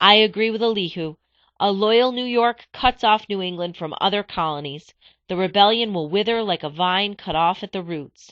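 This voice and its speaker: A female-sounding, put-on character voice sits at a middle pitch. It is shaky and moves at a moderate pace. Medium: read story. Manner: shaky, nervous.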